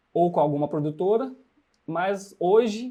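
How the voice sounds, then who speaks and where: Ordinary pitch variation moves through a voice with a dark, mellow tone. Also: man. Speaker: filmmaker and workshop instructor. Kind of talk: tutorial. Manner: halting.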